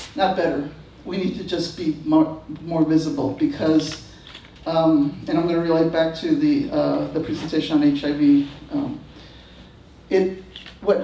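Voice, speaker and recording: The speaker has an American accent and a moderate pace, with noticeable background noise. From Texas, San Antonio. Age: 60s. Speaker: activist and author on a panel. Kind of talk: panel talk. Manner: halting, many fillers.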